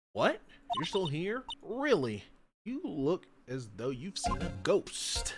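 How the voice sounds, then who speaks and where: A man with a high voice speaks at a fairly slow pace in a put-on character voice, with music playing in the background. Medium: game stream. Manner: brusque, suspicious.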